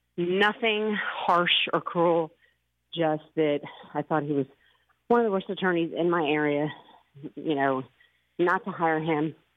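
A woman with an American accent and a fairly low pitch speaks at a fairly slow pace, with ordinary pitch variation, very even loudness and long, frequent pauses. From Philadelphia. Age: 50s. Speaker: caller. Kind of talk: casual chat.

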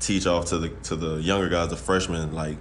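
A man speaks fairly quickly at a very deep, low pitch. Noticeable background noise and audible room echo surround him. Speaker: college basketball player. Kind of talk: podcast interview.

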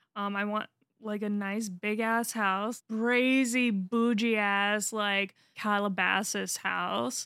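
In an American accent, a woman speaks very slowly at a medium pitch with monotone, flat intonation. Her tone is bright and sharp, and the recording is very clean with a silent background. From US East Coast. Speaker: podcast co-host. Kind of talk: casual chat. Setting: studio.

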